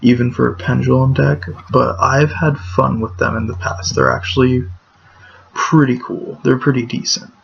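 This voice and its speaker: A quiet man at a fairly slow pace, with noticeable background noise. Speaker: gaming YouTuber. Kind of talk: gameplay commentary. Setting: at home at night. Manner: quiet, hushed.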